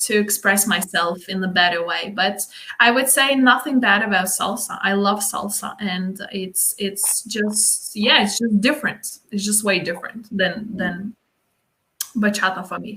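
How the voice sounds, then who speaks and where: Speaking at a fairly slow pace, a woman with a Lithuanian accent uses a medium pitch and ordinary pitch variation. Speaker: dance instructor. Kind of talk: casual chat. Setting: live stream. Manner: halting.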